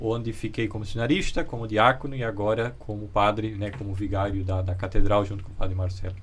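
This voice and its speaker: The voice is somewhat breathy with ordinary pitch variation. Room echo can be heard. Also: man. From Brazil, Santa Catarina (Luiz Alves). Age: 30s. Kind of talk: interview.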